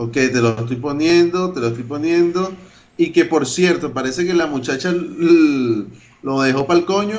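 A man's fairly high voice, fairly slow in pace, with ordinary pitch variation. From Venezuela, Caracas (Caricuao). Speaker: podcast co-host. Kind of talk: casual chat.

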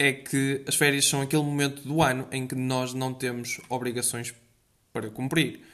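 Speaking at a moderate pace, a man with a European Portuguese accent has a fairly high pitch. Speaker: podcast host. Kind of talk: casual solo monologue. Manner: energetic; halting.

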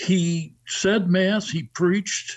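This is a man with an American accent. There is a somewhat breathy quality to his voice. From Chicago North Shore suburbs, US Midwest. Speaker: deacon. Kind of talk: radio interview. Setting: video call.

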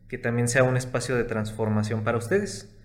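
A man's voice over noticeable background noise. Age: 20s. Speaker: consultant and entrepreneur. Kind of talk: casual chat.

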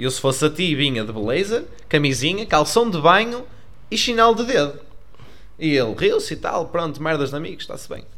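A man with a bright, sharp tone speaks at a fairly quick pace and a fairly high pitch. His pitch swings very widely, and the room echo is audible. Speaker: podcast co-host. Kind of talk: casual chat.

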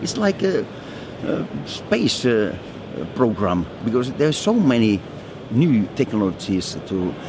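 A man with a Finnish accent speaks at a fairly slow pace, with long, frequent pauses. His pitch swings very widely, and noticeable background noise is present. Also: medium pitch for a man. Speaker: foundry managing director. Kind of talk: interview. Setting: trade fair. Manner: halting, with repetitions.

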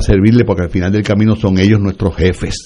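A man's very deep, low pitch with a dark, mellow tone. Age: 60s. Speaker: government agency head. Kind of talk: radio interview.

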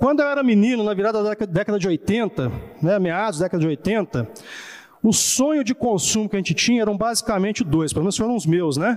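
A man's high-pitched voice with very wide pitch swings and a fairly quick pace. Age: 40s. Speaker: pastor. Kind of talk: sermon.

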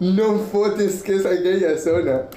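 Someone speaks in an animated tone over noticeable background noise. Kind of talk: casual chat while gaming. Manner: animated, laughing.

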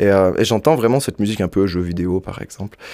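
Talking very fast, a man with a fairly low pitch keeps his intonation fairly even. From French-speaking Switzerland, Montreux area. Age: 20s. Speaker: singer. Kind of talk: interview. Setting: studio.

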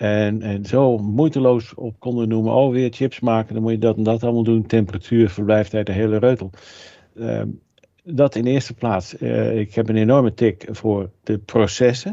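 At a moderate pace, a man with a normal speaking voice talks at medium pitch with fairly even intonation. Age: 60s. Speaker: food technologist and author. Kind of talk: interview.

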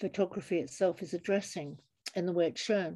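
A woman with a London accent speaks in a dark, mellow tone with fairly even intonation. The recording is very clean, with a silent background. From suburban London. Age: 70s. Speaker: photographer and artist. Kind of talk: interview.

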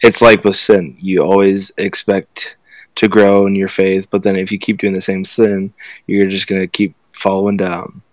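In a dry, close recording with no echo, a man talks with flat, monotone intonation at a fairly low pitch. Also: moderate pace. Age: young. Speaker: student and aspiring speaker. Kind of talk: casual faith podcast chat.

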